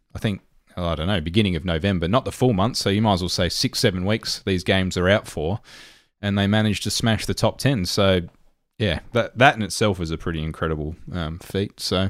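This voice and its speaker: In an Australian accent, a man with a very deep, low voice speaks at a fairly quick pace with ordinary pitch variation. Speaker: gaming podcast co-host. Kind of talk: casual chat.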